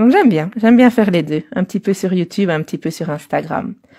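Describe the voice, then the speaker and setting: The voice has a dark, mellow tone and ordinary pitch variation. It moves at a fairly quick pace. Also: woman. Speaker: colouring artist and video creator. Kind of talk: live stream chat while colouring. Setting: live video stream. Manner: fast speech in French.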